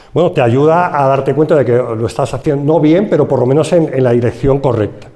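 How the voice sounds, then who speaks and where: The speaker has a Madrid accent and ordinary pitch variation, and audible room echo surrounds the voice. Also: man. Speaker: forestry engineer. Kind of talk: conference talk. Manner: halting.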